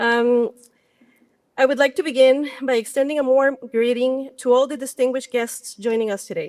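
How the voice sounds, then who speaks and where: Speaking with a Spanish accent at a moderate pace, a woman keeps her high pitch in a fairly even intonation. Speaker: university representative. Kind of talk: award acceptance speech. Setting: outdoor event with audience. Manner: reads from notes.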